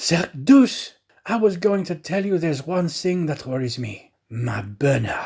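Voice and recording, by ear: Using a put-on character voice, a man talks at a slow pace and fairly high pitch with lively intonation, a slightly husky edge and vocal fry.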